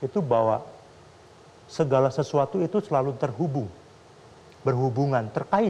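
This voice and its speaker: Somewhat breathy and dark, mellow in tone, a man's medium-pitched voice moves at a moderate pace with lively intonation. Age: young. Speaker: Buddhist monk; guest. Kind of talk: talk show conversation. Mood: calm, earnest, explaining. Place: studio.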